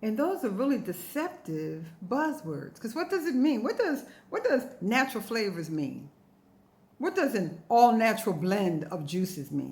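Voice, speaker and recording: Animated woman's voice at a fairly high pitch, with very wide pitch swings, vocal fry and a moderate pace. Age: 60s. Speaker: health vlogger and ebook author. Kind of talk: informal tutorial to camera.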